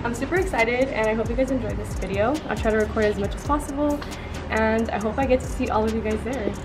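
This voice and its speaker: Words tumble out very fast. Behind them, music can be heard. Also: woman. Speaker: car enthusiast vlogger. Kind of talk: casual vlog chat. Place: street. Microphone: phone near.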